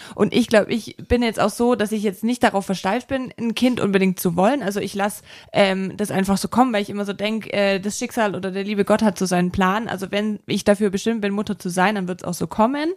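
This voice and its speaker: This woman has an unremarkable speaking voice at medium pitch, with fairly even intonation and a fairly quick pace that leaves hardly any pauses. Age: 30s. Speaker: visual merchandising designer. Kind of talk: casual chat.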